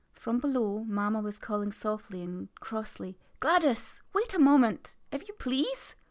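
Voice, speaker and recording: A woman speaks with lively intonation at a fairly high pitch. It is an unremarkable speaking voice. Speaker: storyteller. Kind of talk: ghost story reading.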